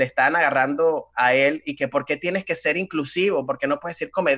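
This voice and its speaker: In a normal speaking voice, a man speaks at a fairly high pitch and a fairly quick pace with fairly even intonation against a quiet background. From Venezuela. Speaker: comedian. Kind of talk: casual chat. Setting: video call. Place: home room. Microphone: studio mic.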